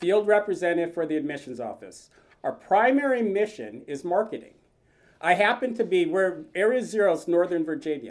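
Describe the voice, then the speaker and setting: Loud and at a fairly quick pace, a man speaks at a high pitch with very wide pitch swings. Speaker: retired naval officer and admissions field representative. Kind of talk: presentation to an audience.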